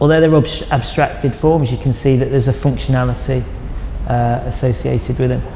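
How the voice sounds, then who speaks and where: Over noticeable background noise, a man speaks at a fairly quick pace with a northern English accent. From northern England (Chester). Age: 40s. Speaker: artist. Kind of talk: interview monologue about own artwork.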